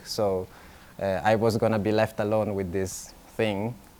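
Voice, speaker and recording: Speaking with an Italian accent, a man uses a medium pitch at a moderate pace. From Italy. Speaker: illustrator. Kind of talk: festival talk. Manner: halting, many fillers.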